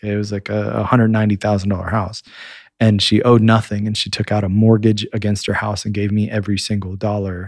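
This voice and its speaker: A man speaks very fast at a fairly low pitch. The recording is very clean, with a silent background. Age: 40s. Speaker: entrepreneur and media marketer. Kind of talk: casual chat. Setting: studio.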